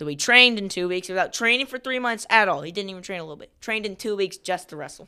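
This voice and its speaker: Speaking at a very fast pace with hardly any pauses, a woman in a medium pitch has an animated tone, lively intonation, a bright, sharp tone and big swings in loudness. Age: 30s. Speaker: podcast host, wrestling segment. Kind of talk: casual chat.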